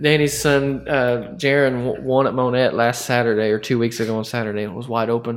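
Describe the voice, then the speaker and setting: A man with an unremarkable speaking voice at a medium pitch, fairly quick and with hardly any pauses, his intonation fairly even. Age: 20s. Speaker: podcast host. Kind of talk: casual interview. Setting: race car shop.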